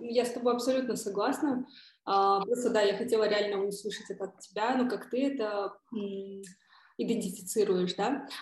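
A woman's fairly high, somewhat breathy voice at a moderate pace, its intonation fairly even. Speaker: podcast host. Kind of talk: casual interview chat.

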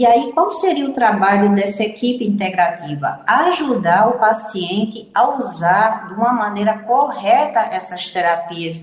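Amid noticeable background noise and audible room echo, a woman speaks at a fairly slow pace with a fairly high pitch and very wide pitch swings. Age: 70s. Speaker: physician. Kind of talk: radio interview.

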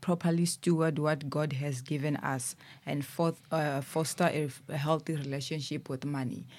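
A woman's very deep, low voice at a moderate pace, in a very clean recording with a silent background. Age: 20s. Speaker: ministry worker. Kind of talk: casual chat. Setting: studio.

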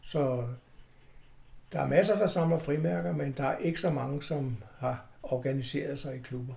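A man speaks slowly with a fairly high pitch, lively intonation, a somewhat breathy, dark, mellow tone and long, frequent pauses. Audible room echo surrounds the voice. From Copenhagen, Denmark. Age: 70s. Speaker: stamp collector, club chairman. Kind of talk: interview. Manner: halting.

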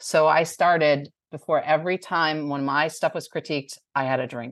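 Against a quiet background, a woman speaks with an American accent in a very deep, low voice. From New Jersey. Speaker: author. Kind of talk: interview.

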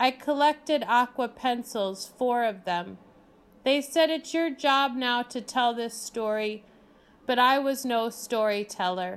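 A woman's high voice at a fairly slow pace, with ordinary pitch variation. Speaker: poet reading her own work. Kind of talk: poetry reading, performed poem. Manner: hushed, deliberate, dreamy and incantatory.

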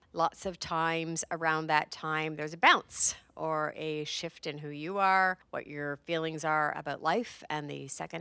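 At a moderate pace, a woman with a very deep, low pitch speaks in a bright, sharp tone, her voice dry and close with no echo on a very clean recording against a silent background. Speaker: podcast host and author. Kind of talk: casual chat.

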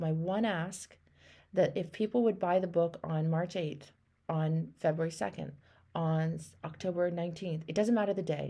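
Over a silent background in a very clean recording, a woman speaks at a moderate pace. Her tone is dark and mellow, her pitch fairly low, with ordinary variation. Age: 50s. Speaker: life coach and podcast host. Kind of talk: coaching call. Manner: animated.

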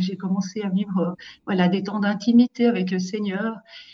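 A woman speaks at a medium pitch and a fairly slow pace. Her voice is somewhat breathy. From Switzerland, Valais (Saillon). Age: 50s. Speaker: pastoral worker. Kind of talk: testimony.

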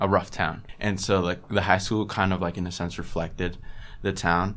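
A man speaks with an American accent. His pitch is very deep and low, and his pace is moderate. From Long Island, New York. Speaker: college student. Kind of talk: interview.

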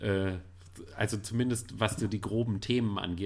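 A man speaks in a fairly low, somewhat breathy voice with fairly even intonation, captured in a very clean recording against a silent background. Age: 30s. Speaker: film blogger. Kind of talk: casual chat.

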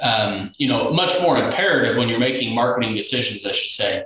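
Medium-pitched male speech with ordinary pitch variation over noticeable background noise. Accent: Midwestern American. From Kansas, Sumner County near Wichita. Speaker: farm financial consultant. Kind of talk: casual interview.

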